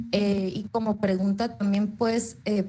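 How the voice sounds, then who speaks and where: With a dark, mellow tone and a somewhat breathy sound, a woman speaks at a medium pitch with fairly even intonation. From Baja California, Mexico. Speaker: psychology graduate student. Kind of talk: audience question in online talk. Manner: halting, many fillers.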